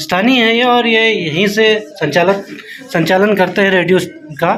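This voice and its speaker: Against noticeable background noise, a man with a high pitch speaks with very even loudness and ordinary pitch variation. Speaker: vlogger. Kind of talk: casual talk to camera.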